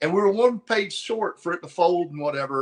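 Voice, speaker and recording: A man talks in a Southern US accent. His pace is very fast. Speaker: comic book cover artist. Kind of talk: casual interview. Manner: animated.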